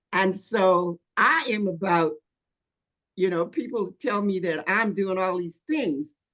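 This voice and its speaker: Her pitch is medium and her intonation lively. The woman talks at a very slow pace. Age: 80s+. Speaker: health and life coach. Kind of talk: interview. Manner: halting, many fillers.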